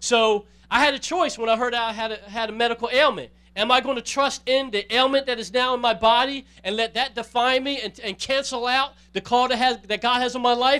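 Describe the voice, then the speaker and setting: A man speaks at an extremely high pitch. His voice is bright, sharp, raised and projected. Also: fairly even intonation, fairly quick pace. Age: 40s. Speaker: pastor. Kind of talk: sermon.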